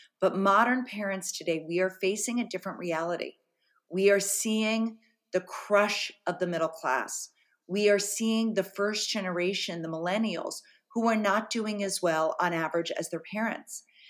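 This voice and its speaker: At a moderate pace, a woman with a normal speaking voice and an American accent talks at a medium pitch with ordinary pitch variation. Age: 50s. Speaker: journalist and author. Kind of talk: interview.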